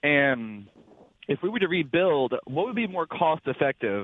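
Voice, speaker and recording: A man speaks with a Mississippi accent. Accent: Southern US (Mississippi). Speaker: truck driver, caller. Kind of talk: call-in question.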